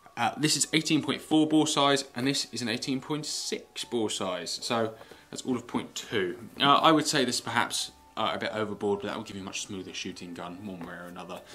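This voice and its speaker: A man with an English accent speaks at a fairly quick pace in a medium pitch, with lively intonation and big swings in loudness. Noticeable background noise runs underneath. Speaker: gun reviewer. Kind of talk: product review. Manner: fast.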